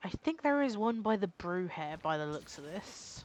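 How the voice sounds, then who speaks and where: Speaking at a moderate pace, a woman talks with a British accent. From Britain. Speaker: gaming streamer. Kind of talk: live gameplay commentary. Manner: casual, halting with fillers.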